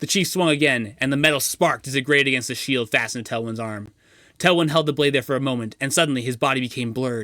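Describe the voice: Someone does plain reading aloud. The pitch shows ordinary variation.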